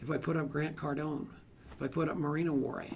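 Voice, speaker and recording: A man with a fairly high pitch talks at a very fast pace amid audible room echo. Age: 60s. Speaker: motivational speaker on networking. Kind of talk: seminar talk. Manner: animated.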